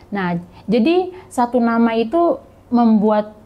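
A somewhat breathy woman's voice, fairly high in pitch, with a dark, mellow tone. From Papua, Indonesia (Muyu people, South Papua); Papua, Indonesia. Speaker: NGO intern and scholarship recipient; podcast guest. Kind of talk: casual interview. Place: office. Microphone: lapel.

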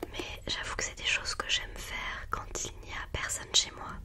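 A woman's whisper at a moderate speed. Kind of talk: soft close-mic vlog chat. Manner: soft close-mic ASMR speech. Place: home room. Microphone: studio mic.

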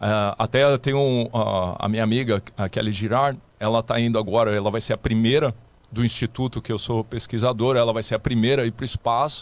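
There is a dry sound with no echo as a man speaks at a moderate pace with ordinary pitch variation. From Rio de Janeiro, Brazil. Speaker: astronaut candidate and scientist; candidate. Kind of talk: casual interview. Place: studio. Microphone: studio mic.

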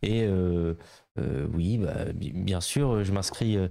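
A man's very deep, low voice, dark and mellow in tone, shows ordinary pitch variation in a dry sound with no echo over a quiet background. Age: 20s. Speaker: member of parliament; guest. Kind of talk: interview. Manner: hesitant, many filler sounds. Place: office. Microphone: handheld.

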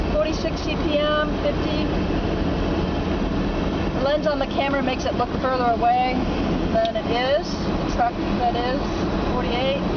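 The speech has long, frequent pauses and a moderate pace. Loud background noise is present. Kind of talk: casual running commentary. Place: car. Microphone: phone near.

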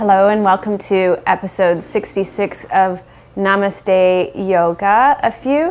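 A woman at a very slow pace with ordinary pitch variation. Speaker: yoga teacher. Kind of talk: casual vlog chat. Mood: warm, upbeat. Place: home room. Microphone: lapel.

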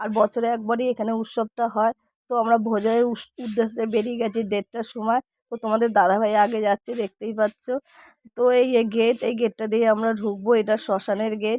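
In a dry, close sound with no echo, a woman speaks at a fairly high pitch with a dark, mellow tone and monotone, flat intonation. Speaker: vlogger. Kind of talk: casual vlog narration. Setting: outdoors at village cremation ground festival.

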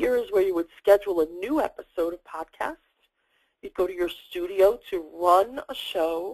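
Lively intonation from a woman with a New York accent, in a dry, close sound with no echo. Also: medium pitch for a woman, moderate pace. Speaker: social media strategist and trainer. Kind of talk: screen-share tutorial.

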